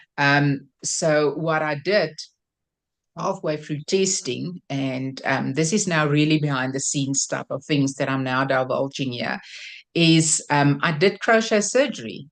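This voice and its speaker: Against a quiet background, a woman speaks at a fairly slow pace. Her pitch is very deep and low, with ordinary variation. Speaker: crochet designer. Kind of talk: interview. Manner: hesitant, many fillers.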